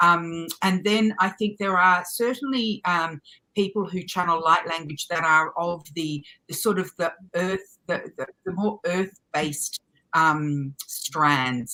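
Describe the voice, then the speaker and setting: A woman speaks very slowly in a fairly low pitch, her tone bright and sharp, with ordinary pitch variation. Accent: Australian. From Australia. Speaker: light language channel and spiritual teacher. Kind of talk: interview answer. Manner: rambling, hesitant.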